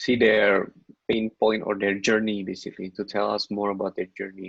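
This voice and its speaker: A man with an Indonesian accent, at a moderate pace in a flat monotone. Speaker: content creator. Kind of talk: casual chat.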